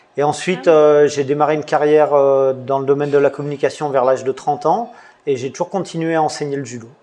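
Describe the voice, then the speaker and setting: Talking at a fairly quick pace, a man has a fairly high pitch and fairly even intonation. Noticeable background noise can be heard. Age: 50s. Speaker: judo coach and website founder. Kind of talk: interview. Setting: in a dojo. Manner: halting.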